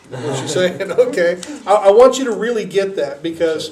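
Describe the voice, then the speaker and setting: The speaker is a man. Noticeable background noise runs behind his voice. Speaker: youth group leader. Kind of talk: talk to youth group.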